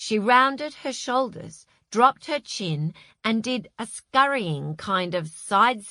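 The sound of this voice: Read in an unforced voice with lively intonation, set against a quiet background.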